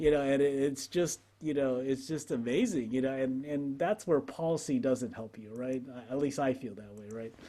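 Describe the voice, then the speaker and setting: At a moderate pace and with hardly any pauses, a man with an American accent speaks at a medium pitch, using ordinary pitch variation and big swings in loudness. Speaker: podcast co-host. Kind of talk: casual chat. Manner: halting, repeats words.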